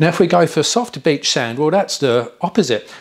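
Fairly quick speech from a man, with a quiet background. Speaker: off-road driving instructor. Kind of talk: lecture. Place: studio. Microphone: lapel.

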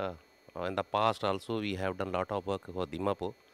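This is a normal speaking voice, a man with a fairly low pitch, recorded with a dry sound and no echo. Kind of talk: interview answer. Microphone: handheld.

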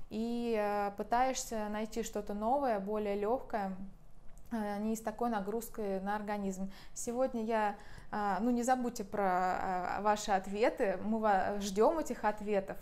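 With fairly even intonation, a woman speaks at a fairly slow pace. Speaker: massage trainer. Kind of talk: tutorial. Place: home room. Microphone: lapel.

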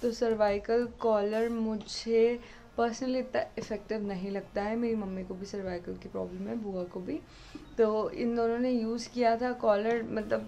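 Over light background noise, a dark, mellow voice moves at a fairly slow pace with fairly even intonation. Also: woman. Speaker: vlogger. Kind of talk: casual vlog chat. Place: home room. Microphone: phone near.

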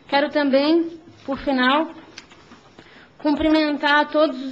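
Over noticeable background noise, a woman speaks at a very slow pace, her high voice monotone and flat. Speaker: mayor. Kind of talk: formal public hearing speech.

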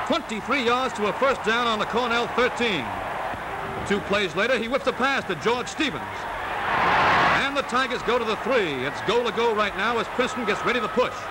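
Speech comes at a moderate pace with ordinary pitch variation over noticeable background noise. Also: man, extremely high pitch for a man. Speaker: newsreel narrator. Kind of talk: newsreel sports commentary. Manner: brisk, lively.

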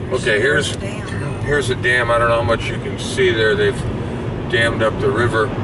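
A man at a fairly quick pace over loud background noise. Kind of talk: casual travel commentary. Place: car. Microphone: phone near.

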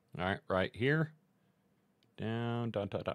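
A man with a fairly low pitch and lively intonation speaks against a quiet background. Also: dry sound with no echo. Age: 40s. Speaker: live streamer. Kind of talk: tutorial. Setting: live stream from home computer setup. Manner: casual, many filler words.

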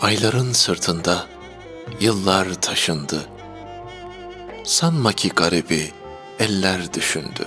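Fairly low-pitched male voice with lively intonation, a very slow pace and long, frequent pauses, set over background music. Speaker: poetry reader. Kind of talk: poetry reading.

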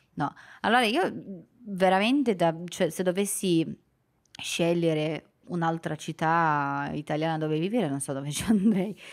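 The background stays quiet. Speech unfolds at a fairly slow pace. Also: woman, fairly low pitch for a woman, ordinary pitch variation. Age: 20s. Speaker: Italian teacher for foreigners; guest teacher. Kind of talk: casual chat. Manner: halting. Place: studio. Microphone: studio mic.

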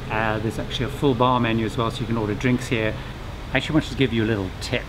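Noticeable background noise fills the clip. A man's voice is heard through it. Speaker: presenter. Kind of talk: tour commentary. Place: boat.

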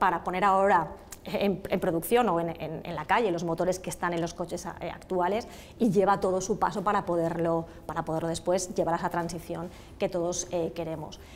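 A woman speaks at a fairly low pitch in a normal speaking voice. Her pace is fairly quick, her intonation fairly even, and there is light background noise. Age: 50s. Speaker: automotive industry association president. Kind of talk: TV interview. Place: hall. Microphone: lapel.

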